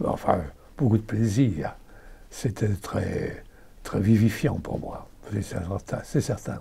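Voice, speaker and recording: Somewhat breathy and dark and mellow in tone, a man speaks at a very slow pace with long, frequent pauses, a fairly low pitch and ordinary pitch variation. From Belgium, Namur and Brussels. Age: 80s+. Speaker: actor. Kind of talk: interview. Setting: at his home. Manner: halting.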